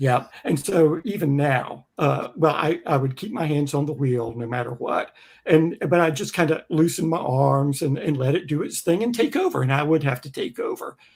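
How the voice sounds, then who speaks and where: A man with a somewhat breathy, fairly high voice speaks at a moderate pace with ordinary pitch variation and hardly any pauses. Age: 60s. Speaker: music creator and Tesla owner. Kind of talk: casual chat.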